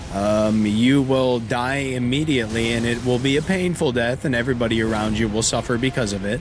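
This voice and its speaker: A man with an American accent talks at a fairly quick pace with hardly any pauses, at a medium pitch with ordinary variation and very even loudness, amid audible room echo and noticeable background noise. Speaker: video game streamer. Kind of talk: casual chat while live-streaming a game. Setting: live stream with face cam.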